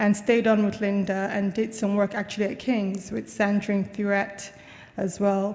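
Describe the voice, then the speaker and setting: A woman speaks at a medium pitch with an American accent. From Nigeria, Lagos. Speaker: university lecturer and researcher. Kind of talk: conference talk.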